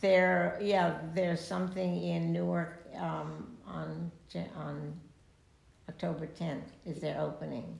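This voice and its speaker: A woman's very slow speech with audible room echo. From Italy (Rome). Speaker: retired university staff. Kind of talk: interview conversation. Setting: her home.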